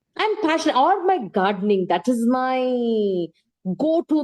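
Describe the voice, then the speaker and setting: This woman's voice is high in pitch, with very wide pitch swings. She talks at a fairly slow pace. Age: 60s. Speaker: singer and former teacher. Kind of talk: interview.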